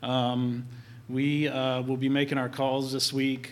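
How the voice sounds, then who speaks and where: A man at medium pitch, fairly slow in pace, with monotone, flat intonation. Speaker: church announcer. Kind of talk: announcements and prayer. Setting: church.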